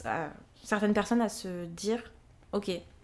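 A woman speaks at a medium pitch. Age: 20s. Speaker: listener and amateur writer. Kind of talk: casual interview. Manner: hesitant, many fillers.

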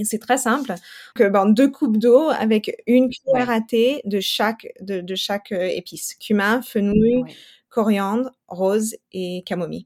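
This woman's voice sits fairly high and moves with ordinary pitch variation at a fairly slow pace. The very clean recording has a silent background and a dry, close sound with no echo. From New Mexico and Colorado, US. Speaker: nutrition specialist and mother. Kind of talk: interview testimony. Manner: hesitant, many fillers and repetitions.

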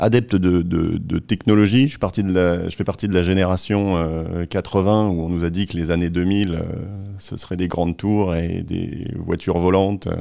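Very deep and low, a man's voice moves at a fairly slow pace. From northern France. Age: 40s. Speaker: food brand marketing director. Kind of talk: interview. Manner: hesitant, many fillers.

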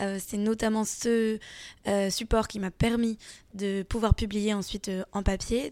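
A woman's unremarkable speaking voice at medium pitch, with fairly even intonation, in a very clean recording with a silent background. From France. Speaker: comics author. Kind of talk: interview. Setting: festival.

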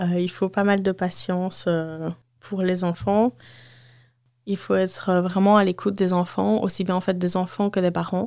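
A woman's monotone, flat delivery at a fairly slow pace, broken by long, frequent pauses, on a very clean recording with a silent background. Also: medium pitch for a woman. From Belgium, Walloon Brabant. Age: 30s. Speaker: childcare worker. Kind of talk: interview. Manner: hesitant, many fillers.

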